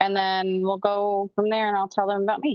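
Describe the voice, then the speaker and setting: This woman has a plain, everyday voice, pitched in the medium range and delivered at a moderate pace. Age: 30s. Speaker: podcast co-host. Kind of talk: casual chat.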